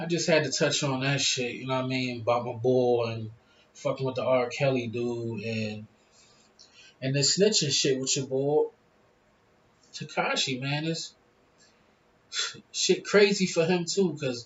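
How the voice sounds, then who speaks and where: A man's medium-pitched voice at a fairly slow pace, with ordinary pitch variation and long, frequent pauses. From Philadelphia, US. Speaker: YouTuber. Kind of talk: casual vlog monologue. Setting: smoking hookah at home.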